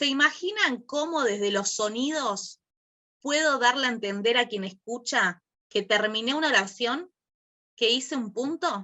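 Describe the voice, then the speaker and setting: A woman's high-pitched voice at a fairly slow pace, lively in intonation. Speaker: workshop teacher. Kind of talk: online class.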